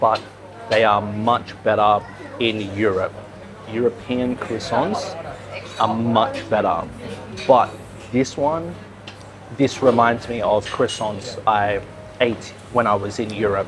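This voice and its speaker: A man at a very slow pace and medium pitch, fairly even intonation and long, frequent pauses, with music in the background. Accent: Australian. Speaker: English teacher. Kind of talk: English-learning vlog narration. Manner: slow, clear.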